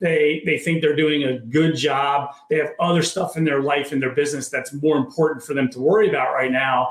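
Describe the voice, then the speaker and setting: An ordinary speaking voice with an American accent moves at a fairly quick pace with hardly any pauses and fairly even intonation. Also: man, fairly high pitch for a man. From Maryland, near Baltimore. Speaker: entrepreneur and author. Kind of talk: interview conversation.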